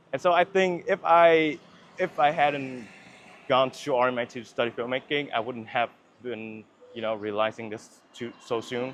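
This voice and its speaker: This man speaks with a Vietnamese accent at a moderate pace. His pitch is medium, with ordinary variation. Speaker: filmmaker. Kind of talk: casual interview chat. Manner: halting, many fillers and restarts.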